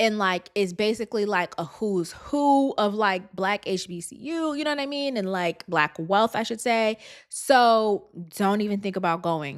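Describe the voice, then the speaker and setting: At a moderate pace, a woman with medium pitch speaks in an animated tone with lively intonation. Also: very clean recording, silent background. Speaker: podcast host. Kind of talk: casual commentary.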